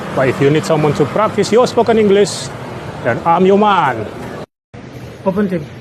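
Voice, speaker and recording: With an Indonesian accent, a man speaks in a high voice with lively intonation and very even loudness, keeping a moderate pace broken by long, frequent pauses. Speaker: English learner and vlogger. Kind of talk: monologue to camera.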